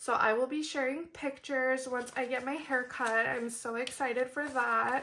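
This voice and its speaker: This woman's high-pitched voice is raised and projected, with hardly any pauses. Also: moderate pace. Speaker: budgeting vlogger. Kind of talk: casual vlog tutorial. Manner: bubbly, energized.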